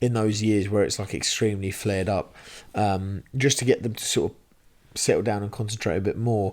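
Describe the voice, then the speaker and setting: A man with an English accent talks very fast in a fairly low voice with ordinary pitch variation, on a very clean recording with a silent background. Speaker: podcast host. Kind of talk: casual chat. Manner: loud; animated.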